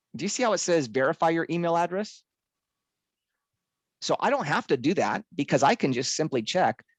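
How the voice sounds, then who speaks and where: Despite long, frequent pauses, the delivery runs at a fairly quick pace, with a dry sound with no echo and a quiet background. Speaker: software trainer. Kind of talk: tutorial. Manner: fast. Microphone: video call.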